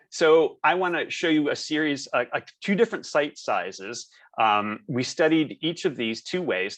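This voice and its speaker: The pace is moderate. The background is quiet. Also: man. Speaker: architect. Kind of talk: webinar presentation. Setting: video call.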